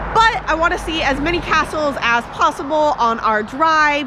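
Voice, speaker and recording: A woman with an American accent speaks with very wide pitch swings. Noticeable background noise sits behind her. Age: 20s. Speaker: travel vlogger. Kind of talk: casual vlog narration.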